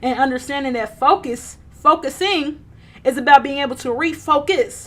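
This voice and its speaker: Loud and animated, a woman speaks at a moderate pace in a high voice with ordinary pitch variation. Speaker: livestreamer, self-help talk. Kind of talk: casual live stream monologue.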